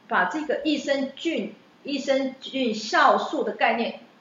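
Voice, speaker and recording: Through audible room echo, a woman speaks at a high pitch. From Taiwan. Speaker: chef and former teacher. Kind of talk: interview. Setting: on location recording. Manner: talkative.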